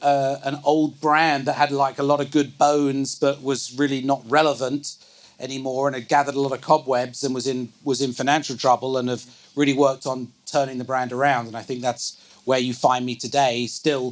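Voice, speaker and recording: A man's fairly high pitch, monotone, flat intonation and moderate pace. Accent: English. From England. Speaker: business executive. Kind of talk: onstage interview. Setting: live event with audience.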